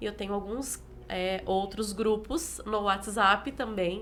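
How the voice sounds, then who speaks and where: Audible room echo frames a woman's voice. She speaks at a medium pitch with vocal fry. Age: 40s. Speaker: pastor. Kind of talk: interview. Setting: live stream.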